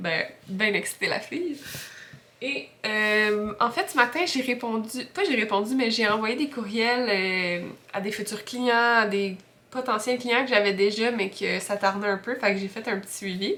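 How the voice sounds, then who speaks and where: At a fairly slow pace, a woman speaks in a fairly high pitch that varies in an ordinary way. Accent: Quebec. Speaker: freelance graphic designer vlogger. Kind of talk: casual vlog talk. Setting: at home. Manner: hesitant, many fillers.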